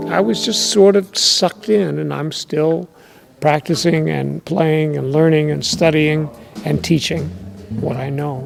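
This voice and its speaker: Music plays in the background. The speaker goes at a fairly slow pace. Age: 60s. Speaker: jazz bassist. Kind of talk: interview. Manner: halting.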